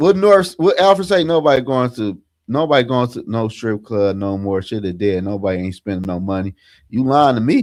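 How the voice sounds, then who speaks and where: An animated man at a medium pitch, speaking at a fairly quick pace with very wide pitch swings, in a very clean recording with a silent background. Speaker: sports podcast host. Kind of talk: casual chat.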